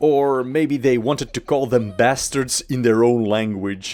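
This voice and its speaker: With music in the background, a man in a Belgian accent speaks at a medium pitch and a fairly slow pace. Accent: Dutch-speaking Belgian accent in English. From Belgium, Dutch-speaking. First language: Dutch. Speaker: gaming YouTuber. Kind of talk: video commentary on game lore.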